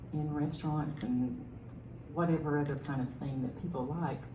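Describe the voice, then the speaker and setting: A woman with a Southern US accent and fairly even intonation, amid noticeable background noise and audible room echo. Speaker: city council candidate, military veteran. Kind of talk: candidate forum answer.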